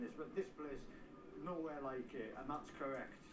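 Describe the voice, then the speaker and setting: A man at a fairly quick pace and fairly high pitch, with ordinary pitch variation, noticeable background noise and audible room echo. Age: 60s. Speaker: amateur road racer. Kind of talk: interview. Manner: animated.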